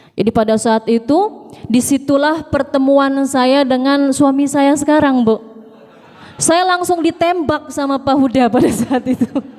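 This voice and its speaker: Against noticeable background noise, a woman with a high pitch speaks at a fairly slow pace with ordinary pitch variation. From Jakarta, Indonesia. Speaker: preacher. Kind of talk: sermon. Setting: mosque with congregation.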